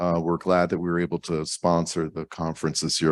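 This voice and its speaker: This man's voice is very deep and low. The sound is dry and close with no echo, over a quiet background. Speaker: cloud company research team member. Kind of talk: conference lightning talk. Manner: casual, conversational.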